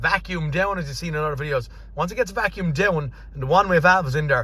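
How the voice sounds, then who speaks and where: Talking at a very fast pace, a man uses a fairly high pitch and a bright, sharp tone with vocal fry and ordinary pitch variation. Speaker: car mechanic. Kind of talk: workshop vlog, thinking aloud. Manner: unscripted, some stumbles.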